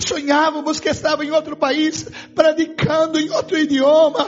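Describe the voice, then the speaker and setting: A man speaks at a moderate pace in a Brazilian accent, his pitch extremely high. Music plays in the background. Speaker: pastor. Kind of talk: sermon. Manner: fervent preaching.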